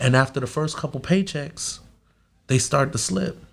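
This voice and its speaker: A man speaks with an American accent at a moderate pace. His voice is somewhat breathy. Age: 30s. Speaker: security company owner. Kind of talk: casual interview. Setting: studio. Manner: halting.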